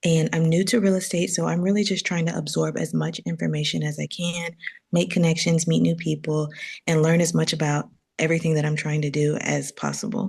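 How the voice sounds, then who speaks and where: Quiet and somewhat breathy, a woman with a fairly low pitch talks at a fairly quick pace with fairly even intonation. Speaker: new real estate learner attending session. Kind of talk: self-introduction on group video call. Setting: online group call from workplace. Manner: quiet, low-voiced.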